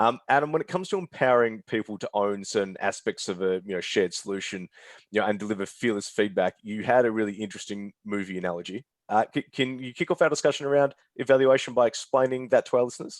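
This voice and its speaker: This man has an Australian accent and speaks at a very fast pace with medium pitch and ordinary pitch variation. The sound is dry and close, with no echo. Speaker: webinar moderator, marketing head. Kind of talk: webinar moderation.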